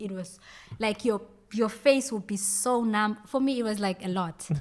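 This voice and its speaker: Speaking in a South African accent, a woman with a fairly high pitch keeps a moderate pace and ordinary pitch variation. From South Africa, KwaZulu-Natal north coast. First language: Zulu. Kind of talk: casual chat.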